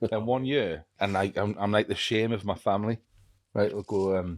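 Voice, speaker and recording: A man speaks at a fairly quick pace and a fairly low pitch, with fairly even intonation. The recording is very clean with a silent background, and the sound is dry and close with no echo. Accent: Geordie. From northern England, Hebburn. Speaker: podcast host. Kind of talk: casual chat.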